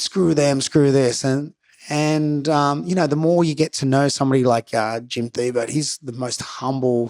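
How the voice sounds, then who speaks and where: A man with an Australian accent speaks at a moderate pace in a fairly high voice. His intonation stays fairly even, and the sound is dry and close with no echo. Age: 40s. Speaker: professional skateboarder and skate coach. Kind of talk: casual chat.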